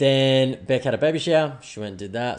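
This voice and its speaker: This man speaks with an Australian accent. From Australia, Brisbane. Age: 30s. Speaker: podcast host. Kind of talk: casual chat. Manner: fast.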